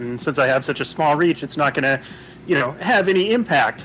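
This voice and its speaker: A man talks over noticeable background noise. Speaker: caller. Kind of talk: casual chat. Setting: phone call.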